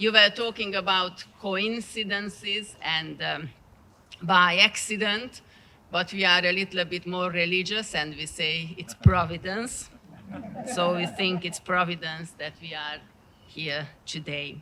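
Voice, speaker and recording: The speaker uses a Transylvanian accent at a very slow pace, with long, frequent pauses. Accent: Transylvanian Hungarian. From Transylvania, Romania. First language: Hungarian. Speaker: partner church representative. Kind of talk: dedication speech. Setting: outdoors.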